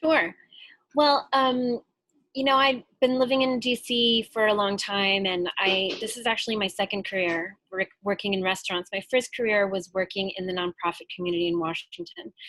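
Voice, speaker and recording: A woman with an American accent has an unremarkable speaking voice at medium pitch. She talks at a moderate pace with ordinary pitch variation. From US Midwest, Chicago. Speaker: restaurant owner. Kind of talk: interview. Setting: video call.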